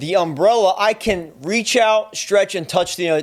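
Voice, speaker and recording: On a very clean recording with a silent background, a man with a New Jersey accent speaks at a fairly slow pace with lively intonation. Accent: New Jersey accent, noticeable. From US Northeast, Trenton, New Jersey. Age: 40s. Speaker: photo and video gear reviewer. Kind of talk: tutorial. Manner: casual, conversational.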